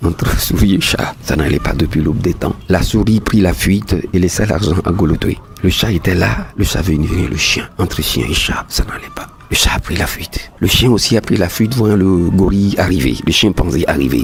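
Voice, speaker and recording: A man talks at a moderate pace in a very deep, low voice with lively intonation. Noticeable background noise runs behind him. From Togo. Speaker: storyteller. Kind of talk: folk tale narration.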